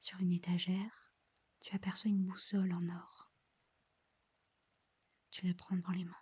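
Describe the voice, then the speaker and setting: Soft-spoken, fairly slow delivery with long, frequent pauses. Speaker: ASMR creator. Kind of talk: ASMR guided visualization.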